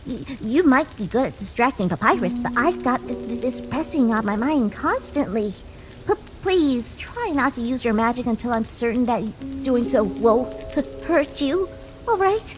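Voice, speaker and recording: A female-sounding voice puts on a character voice, pitched high and moving at a moderate pace. Background noise is clearly audible. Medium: audio drama. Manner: stuttering, nervous.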